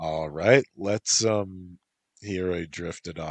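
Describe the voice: Over a quiet background, the plain reading aloud carries ordinary pitch variation.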